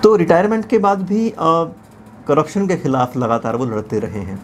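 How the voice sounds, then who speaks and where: A man's lively intonation over light background noise. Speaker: interview host. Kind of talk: documentary interviewer narration. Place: studio. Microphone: lapel.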